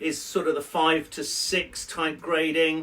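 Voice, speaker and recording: A man with a British accent and fairly high pitch, at a very slow pace amid noticeable background noise. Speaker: IELTS teacher. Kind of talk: educational lesson to camera. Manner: conversational, explanatory.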